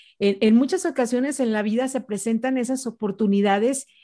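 An ordinary speaking voice talks at a moderate pace with ordinary pitch variation. The recording is very clean, with a silent background. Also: woman. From Mexico, Jalisco (Ciudad Guzmán). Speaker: radio announcer. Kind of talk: interview on public speaking.

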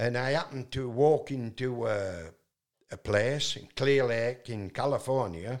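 At a fairly slow pace, a man with a Yorkshire accent speaks at a medium pitch with ordinary pitch variation. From northern England. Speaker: singer-songwriter. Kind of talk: casual interview storytelling. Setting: in-person interview. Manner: loud.

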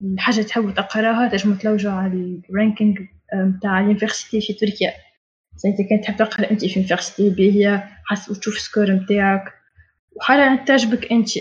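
A woman with a medium pitch and a somewhat breathy voice talks at a fairly quick pace in a flat monotone. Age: 20s. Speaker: engineering student. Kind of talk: casual talk.

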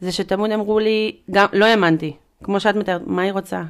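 In an ordinary speaking voice, the speaker goes at a moderate pace with fairly even intonation, on a very clean recording with a silent background. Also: woman. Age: 30s. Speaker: artist and mother sharing postpartum depression experience. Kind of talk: personal testimony in casual interview. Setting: in-person studio conversation.

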